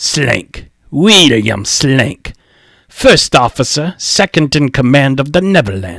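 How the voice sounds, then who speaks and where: In a put-on character voice, a man speaks at a medium pitch with very wide pitch swings. His pace is fairly slow, and the sound is dry and close with no echo. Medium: read story. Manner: gruff, blunt.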